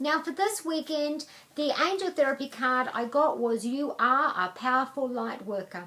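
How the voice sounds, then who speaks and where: Over noticeable background noise, a woman talks at a moderate pace in a high pitch with lively intonation. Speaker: psychic angel card reader. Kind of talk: angel card reading to camera.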